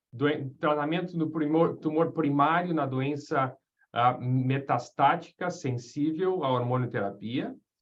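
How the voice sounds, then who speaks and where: At a very slow pace, a man speaks with fairly high pitch and ordinary pitch variation. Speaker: radiation oncologist lecturer. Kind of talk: lecture. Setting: webinar video call. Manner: halting, many fillers; informal.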